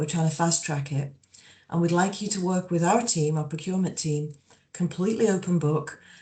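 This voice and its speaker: A somewhat breathy woman's voice in an English accent, fairly low in pitch, with ordinary pitch variation. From England. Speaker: energy company executive. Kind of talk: panel discussion. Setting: online video panel.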